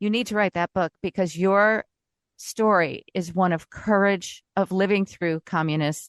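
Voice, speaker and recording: A woman with a normal speaking voice and an American accent speaks at a fairly low pitch and a fairly slow pace, her intonation fairly even. The sound is dry and close with no echo, and the background is quiet. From Indiana. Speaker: radio host. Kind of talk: interview.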